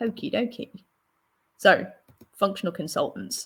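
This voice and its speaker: Somewhat breathy woman's voice with a London accent. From London, England. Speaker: solution architect. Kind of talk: presentation. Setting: online stream with screen share.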